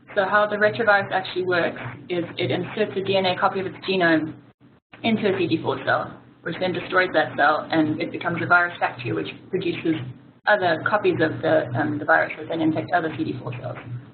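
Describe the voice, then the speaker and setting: A woman with a fairly low pitch talks at a very fast pace. Noticeable background noise runs underneath. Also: ordinary pitch variation. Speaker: physiotherapist. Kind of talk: webinar presentation. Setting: online webinar.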